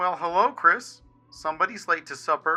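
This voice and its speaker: Someone uses a put-on character voice at a moderate pace. Faint music plays in the background. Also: man. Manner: goofy, joking.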